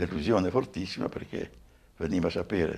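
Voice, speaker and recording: Fairly quick delivery from a man with a very deep, low pitch. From Romagna, Modigliana; Romagna. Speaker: former partisan, witness; interviewee. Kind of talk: testimony interview. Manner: halting, repeats words. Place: home room.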